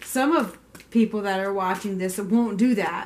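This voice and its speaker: At a moderate speed, a woman is speaking. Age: 40s. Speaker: tarot reader. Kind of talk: tarot reading monologue. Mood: calm, gentle, reflective. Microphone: camera far.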